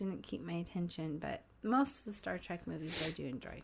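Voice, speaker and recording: This is an ordinary speaking voice. The pace is moderate. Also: woman. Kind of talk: casual chat.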